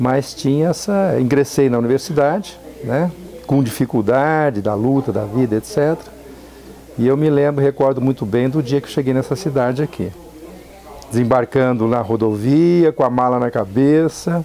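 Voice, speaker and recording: At a moderate pace and medium pitch, a man speaks with ordinary pitch variation and very even loudness over noticeable background noise. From Brazil, São Paulo state (Araçatuba). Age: 60s. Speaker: university professor and engineer. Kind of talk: interview, personal recollection. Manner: hesitant, repeats words.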